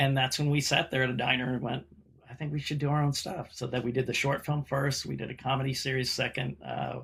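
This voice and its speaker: On a very clean recording with a silent background, a man with an American accent talks very fast at a medium pitch with vocal fry. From US Mid-Atlantic (Montgomery County, Maryland, DC suburbs). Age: 60s. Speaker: actor. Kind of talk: casual chat. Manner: animated.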